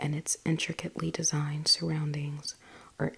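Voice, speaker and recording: Soft-spoken and very deep in pitch, a woman talks at a moderate pace amid noticeable background noise. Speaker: ASMR content creator. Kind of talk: ASMR bedtime story book reading for sleep. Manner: soft-spoken, relaxing.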